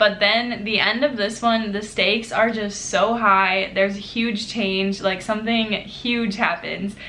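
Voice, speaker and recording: Over noticeable background noise and audible room echo, a woman talks fairly slowly with fairly high pitch and fairly even intonation. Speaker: book vlogger. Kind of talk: casual vlog chat. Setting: apartment.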